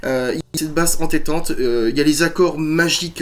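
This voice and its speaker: A man speaks with a French accent in a fairly high pitch. His pace is moderate and his intonation fairly even. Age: 40s. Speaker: musician and YouTuber. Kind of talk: casual chat. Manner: hesitant, many fillers.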